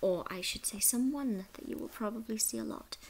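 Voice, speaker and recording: Quiet and somewhat breathy, a woman talks at a moderate pace with very wide pitch swings over light background noise. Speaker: vlogger. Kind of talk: casual talk to camera. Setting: night, shared house. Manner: whispered. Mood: warm, cheerful. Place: home room. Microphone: webcam.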